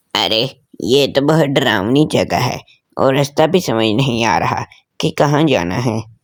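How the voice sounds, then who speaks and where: A man speaks in a put-on character voice at medium pitch. His pace is moderate. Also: ordinary pitch variation. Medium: audio drama. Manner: stammering when scared.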